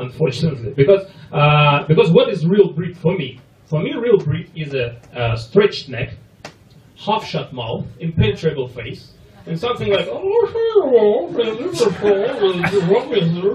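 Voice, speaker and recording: A man in a Russian accent, fairly slow, with very wide pitch swings, big shifts in loudness and noticeable background noise. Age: 30s. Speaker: comedian. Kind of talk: stand-up.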